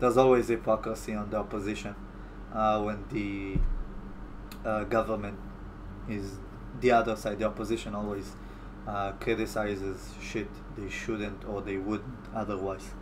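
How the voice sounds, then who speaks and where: A man with an Israeli accent speaks at a moderate pace, leaving long, frequent pauses, with audible room echo. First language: Hebrew. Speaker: YouTube commentator. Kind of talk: live stream Q&A. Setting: live stream from home. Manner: halting.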